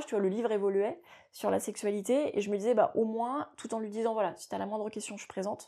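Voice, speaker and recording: A woman's fairly high, dark, mellow voice at a very fast pace, with ordinary pitch variation and big swings in loudness. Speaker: coach for teenagers and parents, parent of two. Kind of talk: interview answer.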